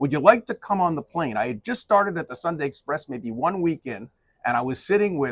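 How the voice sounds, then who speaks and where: A man with a fairly high pitch and very wide pitch swings, in a dry, close sound with no echo. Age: 60s. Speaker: sports journalist. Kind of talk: casual interview. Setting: broadcast booth at arena.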